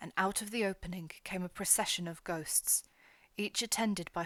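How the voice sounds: Someone reads in a natural voice, and the pitch rises and falls in an ordinary way.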